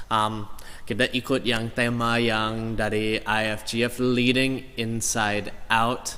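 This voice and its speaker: Audible room echo surrounds a man with an English accent who speaks at a very slow pace in a monotone, flat intonation with hardly any pauses. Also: medium pitch for a man. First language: English (speaking Indonesian). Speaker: pastor. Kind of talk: sermon. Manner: halting.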